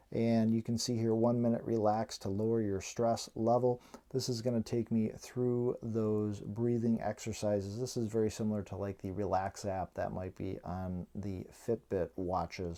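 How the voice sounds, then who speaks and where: A man with an ordinary speaking voice at a moderate pace, hardly any pauses. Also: fairly low pitch for a man. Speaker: tech reviewer. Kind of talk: tutorial. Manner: casual.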